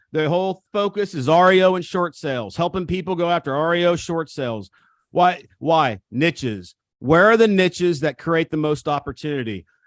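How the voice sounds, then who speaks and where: Over a quiet background, a man with an American accent speaks in a high pitch at a moderate pace, his tone animated and the sound dry and close with no echo. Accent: country, rural. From Missouri. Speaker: real estate coach. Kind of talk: seminar talk. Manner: animated, emphatic.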